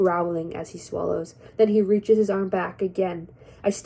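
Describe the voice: Simple, plain reading aloud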